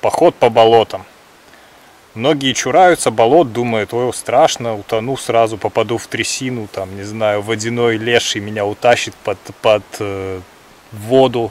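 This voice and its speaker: The sound is dry with no echo as a man talks at a fairly slow pace, his loudness swinging widely. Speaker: hiking vlogger. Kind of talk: casual vlog chat. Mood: cheerful, relaxed. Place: forest.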